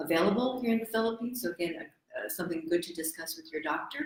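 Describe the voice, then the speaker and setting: Lively intonation marks this woman's voice with an American accent. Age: 60s. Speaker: medical doctor. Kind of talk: health talk show. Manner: hesitant with fillers.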